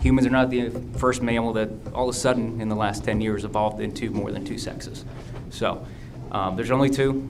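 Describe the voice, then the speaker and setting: Amid noticeable background noise and audible room echo, a man with an American accent and a medium pitch speaks at a fairly quick pace. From US Midwest (northeast Ohio). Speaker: school board candidate. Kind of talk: candidate forum answers. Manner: fast.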